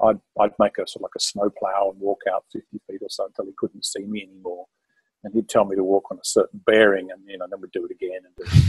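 A man with a southern English accent talks at a very fast pace with big swings in loudness against a quiet background. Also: dry sound with no echo. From London, England. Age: 60s. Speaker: mountaineer and author; podcast guest. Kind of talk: interview storytelling. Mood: amused reminiscing. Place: home room. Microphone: video call.

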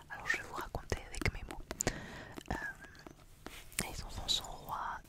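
A woman is whispering in a dry sound with no echo. Loud background noise surrounds her. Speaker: ASMR creator reviewing items. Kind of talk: casual soft-spoken review chat. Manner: close-mic French whisper. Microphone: studio mic.

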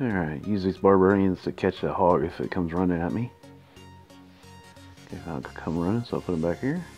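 Over music in the background, a man with a very deep, low voice talks at a fairly quick pace broken by long, frequent pauses. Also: ordinary pitch variation. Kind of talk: casual gameplay commentary. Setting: headset earbud mic on phone.

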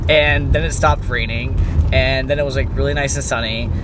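A man at a moderate pace, with noticeable background noise and a dry sound with no echo. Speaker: vlogger passenger. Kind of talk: casual vlog chat. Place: car. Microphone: phone near.

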